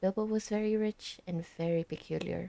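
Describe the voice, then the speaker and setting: Soft-spoken, a woman uses a medium pitch and a dark, mellow tone at a moderate pace, with fairly even intonation. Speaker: ASMR streamer. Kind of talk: reading aloud. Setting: live stream. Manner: halting.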